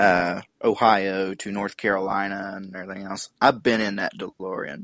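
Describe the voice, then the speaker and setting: A man talks with a slight Southern US accent. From West Virginia. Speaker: car enthusiast, online group founder. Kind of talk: podcast interview.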